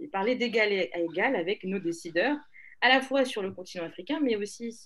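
This woman has a normal speaking voice, pitched fairly high, with ordinary pitch variation. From Togo, Lomé. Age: 20s. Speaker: public policy incubator co-founder. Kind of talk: interview conversation.

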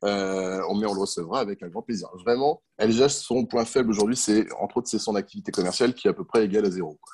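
A man's fairly low voice at a fairly quick pace, hardly any pauses, ordinary pitch variation, and a dry, close sound with no echo. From France, countryside. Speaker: entomologist and pest control business owner. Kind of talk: interview. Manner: hesitant, with fillers.

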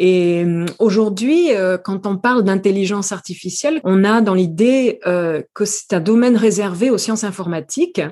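The voice has a dark, mellow tone and ordinary pitch variation, moving at a fairly slow pace over a quiet background. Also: woman, medium pitch for a woman. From New Caledonia. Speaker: AI ethics consultant and lecturer. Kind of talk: interview. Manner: hesitant, frequent repetitions.

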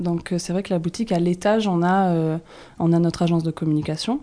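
Dark and mellow in tone, this voice moves through ordinary pitch variation. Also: woman. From southwestern France, Toulouse region. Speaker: shop co-founder, entrepreneur. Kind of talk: interview. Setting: in a shop.

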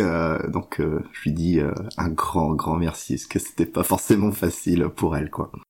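Keeping a moderate pace, a man talks in a very deep, low voice. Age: 40s. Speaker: patient sharing mental illness story. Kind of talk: testimony. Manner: halting.

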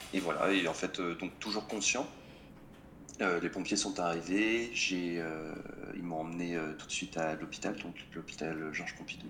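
With audible room echo and noticeable background noise, a man speaks in a very deep, low voice with ordinary pitch variation and long, frequent pauses. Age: 20s. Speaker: motorcyclist sharing accident story. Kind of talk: casual chat.

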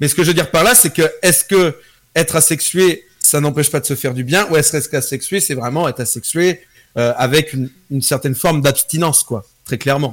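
Somewhat breathy, a man speaks at a fairly quick pace with a fairly high pitch and ordinary pitch variation. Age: 20s. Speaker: streamer. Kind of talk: casual chat.

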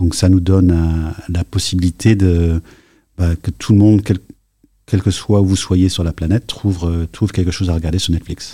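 In a very clean recording with a silent background and a dry, close sound with no echo, a man speaks fairly slowly at a very deep, low pitch, his tone dark and mellow, somewhat breathy, with monotone, flat intonation. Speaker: tech executive. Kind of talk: interview. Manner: halting.

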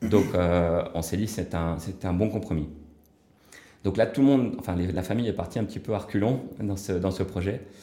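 A man's fairly low-pitched voice with a dark, mellow tone, ordinary pitch variation, a moderate pace, long and frequent pauses, and audible room echo. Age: 40s. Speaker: real estate developer and entrepreneur. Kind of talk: casual interview. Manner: hesitant, many filler words.

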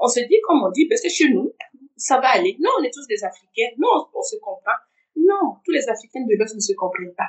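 A woman's high voice at a fairly quick pace, with very wide pitch swings. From Burkina Faso. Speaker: insurance professional. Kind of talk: interview testimony. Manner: halting.

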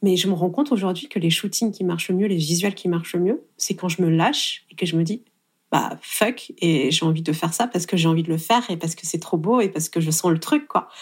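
At a fairly quick pace, a woman talks with a fairly low pitch and ordinary pitch variation. Her voice is somewhat breathy. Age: 30s. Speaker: wedding photographer. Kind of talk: interview.

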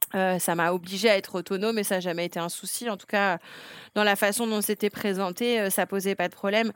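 A woman's medium-pitched, fairly quick speech with monotone, flat intonation and big swings in loudness, dry and close with no echo, on a very clean recording with a silent background. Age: 40s. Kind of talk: interview testimony. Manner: hesitant, many fillers.

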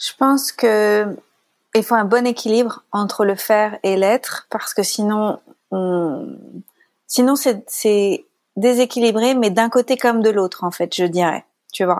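Very slow speech from a woman, fairly high in pitch, with ordinary pitch variation. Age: 30s. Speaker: life coach. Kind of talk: casual interview.

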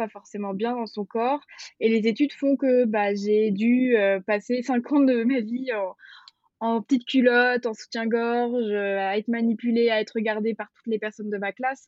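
A woman talks at a moderate pace with fairly high pitch. Her intonation is monotone and flat. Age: 20s. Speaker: osteopath. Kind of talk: casual interview. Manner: hesitant, many fillers.

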